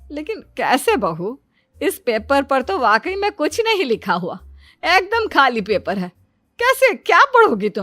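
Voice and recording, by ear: Using a cartoonish character voice, a woman speaks at a high pitch and a fairly slow pace, with a fairly bright tone and very wide pitch swings.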